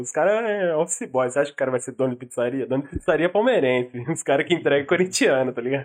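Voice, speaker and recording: His pitch sits fairly high. The man's speech moves at a very fast speed. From São Paulo, Brazil. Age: 20s. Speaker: podcast co-host. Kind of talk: casual chat.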